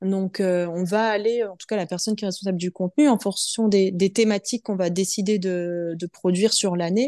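A woman speaks at a moderate pace with a medium pitch and a dark, mellow tone, her intonation fairly even. The sound is dry and close with no echo, over a quiet background. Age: 30s. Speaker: finance manager and yoga teacher. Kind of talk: interview. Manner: hesitant, many fillers.

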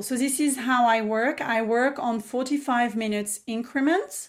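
In a very clean recording with a silent background, a woman with a French accent talks in a fairly high voice with ordinary pitch variation. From south of France, Provence. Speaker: business mentor and entrepreneur. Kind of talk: casual interview chat.

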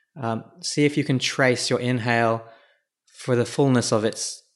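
This man has an ordinary speaking voice, pitched at a medium level, and his intonation stays fairly even. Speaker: podcast host and founder. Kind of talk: guided meditation; monologue on mindfulness, solo podcast. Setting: solo podcast recording.

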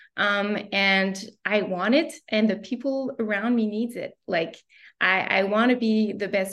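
A woman speaks in a normal speaking voice at a medium pitch. Her pace is fairly slow and her intonation fairly even. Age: 30s. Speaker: career counselor and entrepreneur. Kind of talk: casual interview.

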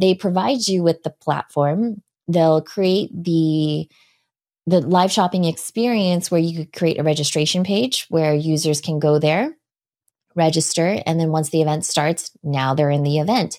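A woman's normal speaking voice, fairly low in pitch with ordinary pitch variation, dry and close with no echo, on a very clean recording with a silent background. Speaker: live video strategist and trainer. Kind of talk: casual interview chat.

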